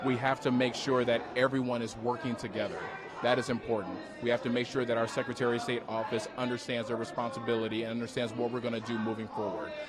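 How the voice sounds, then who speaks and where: Music plays in the background and the room echo is audible. A man with a medium-pitched voice speaks at a very fast pace. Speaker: political candidate. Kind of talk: interview. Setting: live watch party event. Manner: energetic; lowered voice.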